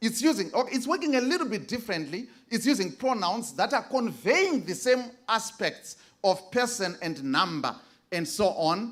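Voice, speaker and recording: The speaker has a Zimbabwean accent. The pace is moderate. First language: Shona. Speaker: conference presenter, biblical Greek scholar. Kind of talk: academic presentation. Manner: halting, many fillers.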